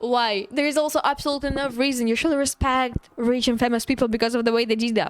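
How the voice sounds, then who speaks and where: A woman speaks at a fairly quick pace in a high voice. She has a non-native accent. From Eastern Europe. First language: not English. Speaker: streamer. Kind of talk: casual chat. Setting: live stream.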